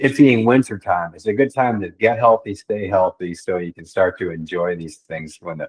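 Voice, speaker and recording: A man in an ordinary speaking voice, fairly low in pitch, at a moderate pace with hardly any pauses, lively intonation, big swings in loudness and a dry, close sound with no echo. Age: 60s. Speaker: magazine publisher. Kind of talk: casual chat.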